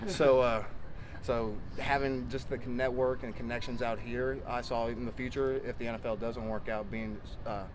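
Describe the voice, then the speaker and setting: A man's monotone, flat delivery in a Texan accent, at a moderate pace, with audible room echo. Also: medium pitch for a man. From Texas. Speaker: college football player. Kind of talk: interview. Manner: halting, many fillers.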